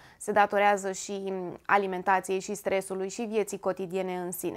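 Against a quiet background, a woman talks at a medium pitch in a plain, everyday voice. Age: 30s. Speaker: lifestyle YouTuber. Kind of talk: informative talk to camera. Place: home room.

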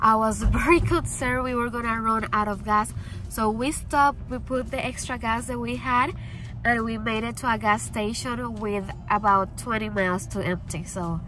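A woman talks at a moderate pace. The sound is dry with no echo, and faint music plays in the background. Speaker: pet vlogger. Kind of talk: casual vlog chat. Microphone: phone near.

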